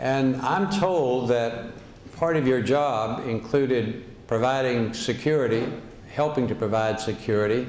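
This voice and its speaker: With noticeable background noise behind him, a man with an American accent speaks at a medium pitch with ordinary variation. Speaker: former governor. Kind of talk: interview questions.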